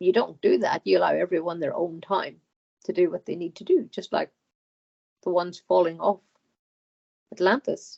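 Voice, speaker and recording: In an Irish accent, a woman talks at a moderate pace with long, frequent pauses. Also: big swings in loudness. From Ireland. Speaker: hypnotherapy client. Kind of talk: channeled speech under hypnosis. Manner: halting.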